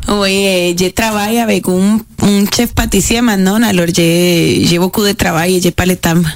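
With very even loudness and fairly even intonation, the voice moves at a fairly slow pace over noticeable background noise. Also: woman, medium pitch for a woman. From Costa Rica. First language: Spanish (speaking French). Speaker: pastry chef. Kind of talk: casual chat. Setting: studio. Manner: halting.

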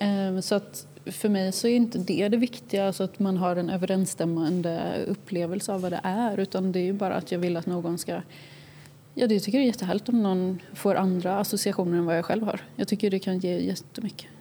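This woman has a dark, mellow tone and fairly even intonation, talking at a fairly quick pace. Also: medium pitch for a woman. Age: young. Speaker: young artist. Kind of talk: interview.

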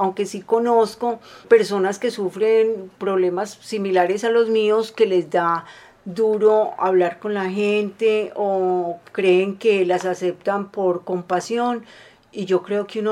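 Monotone, flat intonation at a very slow pace. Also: woman. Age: 50s. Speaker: polio survivor. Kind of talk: testimony.

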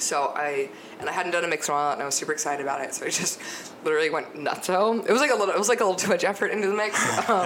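An enthusiastic speaker talks at a very fast pace with lively intonation over noticeable background noise. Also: woman, medium pitch for a woman. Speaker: podcast guest; DJ and radio show host. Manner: casual, enthusiastic.

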